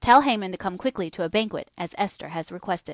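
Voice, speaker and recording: With lively intonation and a fairly quick pace, a woman with an unremarkable speaking voice is heard on a very clean recording with a silent background, dry and close with no echo. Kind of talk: audio bible reading.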